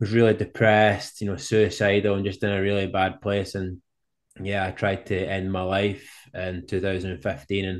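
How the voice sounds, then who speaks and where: With a Scottish accent, a man speaks at a moderate pace in a fairly low, monotone, flat voice over a quiet background. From Scotland. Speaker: professional cyclist and speaker. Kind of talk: interview.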